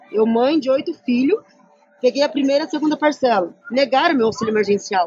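The speech moves at a fairly quick pace, with noticeable background noise. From Curitiba region, Paraná, southern Brazil. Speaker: housing activist. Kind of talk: interview testimony.

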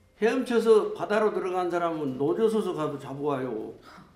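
Over noticeable background noise, a man with a high pitch talks at a moderate pace, his voice making very wide pitch swings. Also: big swings in loudness. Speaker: former political prisoner. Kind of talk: testimony.

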